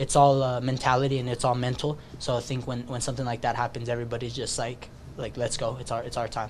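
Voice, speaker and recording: A man's very fast, monotone, flat delivery with music in the background. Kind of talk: interview answer. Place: meeting room. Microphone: podium.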